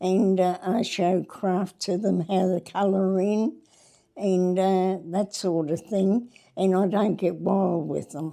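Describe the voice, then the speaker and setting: A woman speaks at a very slow pace and a medium pitch in an Australian accent. Her tone is dark and mellow, her intonation fairly even. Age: 80s+. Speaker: retired cricket club scorer and team manager. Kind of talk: casual interview. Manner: halting.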